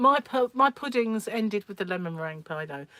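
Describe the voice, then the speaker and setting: A woman with a British accent speaks at a moderate pace and medium pitch, her intonation lively. The sound is dry and close, with no echo. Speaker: livestream host, crochet and craft channel owner. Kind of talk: casual livestream chat.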